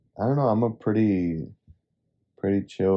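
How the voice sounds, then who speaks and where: A man's voice has a dark, mellow tone. He moves at a fairly quick pace. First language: Spanish. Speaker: podcast co-host. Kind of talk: casual chat.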